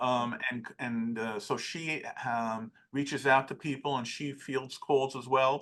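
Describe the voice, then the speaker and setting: This man's tone is bright and sharp. His intonation stays fairly even. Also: quiet background. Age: 60s. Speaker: forensic accountant. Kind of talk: interview. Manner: halting.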